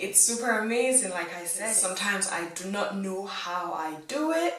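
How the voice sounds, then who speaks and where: Heard at a fairly slow pace, a woman speaks. Noticeable background noise and audible room echo surround her voice. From England. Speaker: YouTuber. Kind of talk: vlog monologue. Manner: casual, with frequent fillers.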